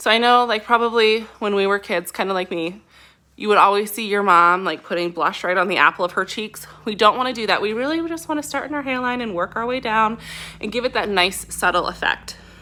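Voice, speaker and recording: On a very clean recording with a silent background, a woman talks loud and fairly quick, her fairly high voice showing ordinary pitch variation. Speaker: beauty product distributor. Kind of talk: makeup tutorial. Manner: animated.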